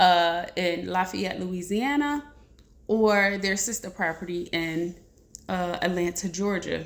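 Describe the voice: At a moderate pace, a woman speaks with vocal fry.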